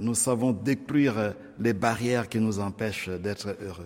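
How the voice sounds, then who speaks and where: Using an unremarkable speaking voice, a man talks at a fairly slow pace and medium pitch with fairly even intonation. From Democratic Republic of the Congo. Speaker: priest and radio program director. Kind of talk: speech to radio listeners, interpreted. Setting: radio studio.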